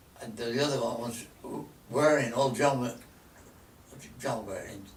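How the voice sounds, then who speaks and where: A man with a Lancashire accent, medium pitch and fairly even intonation at a moderate pace, big swings in loudness, noticeable background noise and audible room echo. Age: 90s. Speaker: elderly local resident recalling the past. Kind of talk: casual reminiscing chat.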